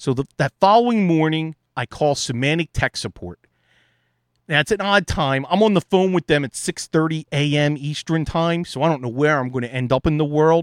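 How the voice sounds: In a dry, close recording with no echo, a man with a fairly high voice talks at a moderate pace with ordinary pitch variation.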